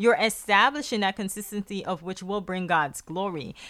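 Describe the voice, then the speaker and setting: Bright and sharp in tone, a woman speaks at medium pitch with an American accent and ordinary pitch variation. The recording is very clean, with a silent background. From Guyana. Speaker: podcast host, mother. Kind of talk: casual conversation with prayer.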